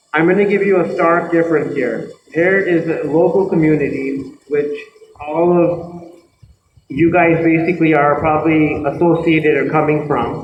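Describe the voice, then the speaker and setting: A flat, monotone delivery rings out with audible echo from the room. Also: man, fairly high pitch for a man, moderate pace. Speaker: environmental expert and university lecturer. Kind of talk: seminar lecture.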